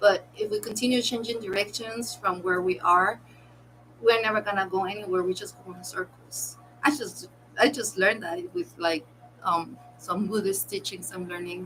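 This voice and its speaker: A woman with a non-native accent talks with ordinary pitch variation and big swings in loudness while music plays in the background. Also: medium pitch for a woman, moderate pace. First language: not English. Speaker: content creator reacting to videos. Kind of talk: casual commentary while crafting. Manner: halting.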